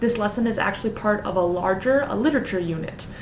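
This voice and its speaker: Lively intonation marks this woman's medium-pitched voice. Noticeable background noise and audible room echo are present. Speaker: teacher. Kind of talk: lesson plan presentation; classroom teaching demonstration. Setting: recording at home. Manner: fast.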